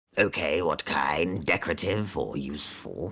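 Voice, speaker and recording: A man's raspy, put-on character voice, very deep and low in pitch, at a moderate pace. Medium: actual play. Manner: courteous, shopkeeperly.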